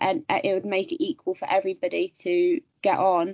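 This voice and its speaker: Her pitch medium, a woman speaks with very wide pitch swings and a slight Birmingham accent. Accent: West Midlands, slight Birmingham. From West Midlands, England. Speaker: amateur golfer. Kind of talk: casual interview chat.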